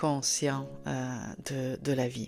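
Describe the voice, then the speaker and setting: Over music in the background, the voice carries a slight Italian accent and ordinary pitch variation. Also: woman. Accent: faint Italian. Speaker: author and podcast host. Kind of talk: podcast talk. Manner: hesitant, many fillers.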